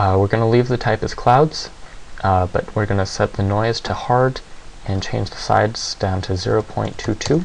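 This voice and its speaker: Amid noticeable background noise, a man speaks quietly at a fairly low pitch. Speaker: 3D software tutorial maker. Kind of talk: software tutorial narration.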